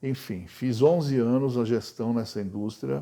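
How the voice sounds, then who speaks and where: Over a quiet background, a man with a dark, mellow tone speaks at medium pitch and a moderate pace, with ordinary pitch variation. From Brazil, São Paulo. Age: 70s. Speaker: cultural project consultant, retired banker. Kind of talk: interview testimony.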